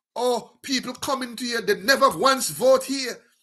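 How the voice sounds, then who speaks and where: An American-accented man with an extremely high pitch, a raised, projected voice and a bright, sharp tone at a fairly slow pace. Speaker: talk show host. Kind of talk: political commentary monologue. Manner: animated; repetitive halting fillers.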